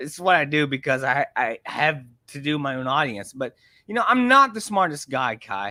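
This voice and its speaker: A man talks at a fairly quick pace and fairly high pitch, with a bright, sharp, animated tone. His intonation is lively, and the sound is dry and close with no echo. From rural area. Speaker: online content creator. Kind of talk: casual chat.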